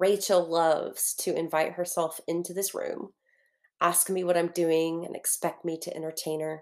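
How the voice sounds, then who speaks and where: At a moderate pace, a woman talks in a fairly low, monotone, flat voice over a silent background in a very clean recording. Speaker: fiction narrator. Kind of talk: literary audiobook reading, first-person fictional letter. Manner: intimate, wistful, earnest; measured, reflective narration pace.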